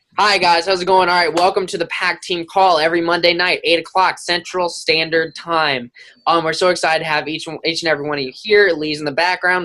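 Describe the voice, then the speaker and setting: A man's high-pitched, bright, sharp voice, animated in tone and very fast. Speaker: team leader hosting a weekly coaching call. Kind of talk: group call talk. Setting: group call.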